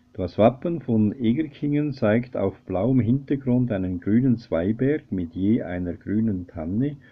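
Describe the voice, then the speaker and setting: The pace is very slow as this man talks. Pitch shifts in an ordinary way. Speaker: local history presenter. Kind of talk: documentary narration. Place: home room. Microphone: webcam.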